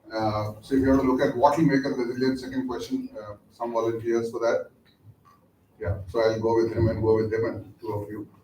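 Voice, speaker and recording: Audible room echo around a man speaking, his pitch varying in an ordinary way. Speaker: lecturer, business executive. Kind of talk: lecture.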